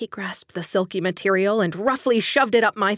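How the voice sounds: The clip has a natural reading voice. Its pitch varies in an ordinary way.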